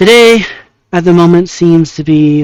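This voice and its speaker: A soft-spoken man talks at a fairly slow pace. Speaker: vtuber. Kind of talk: casual monologue. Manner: halting. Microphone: lavalier mic clipped on beanie, phone backup.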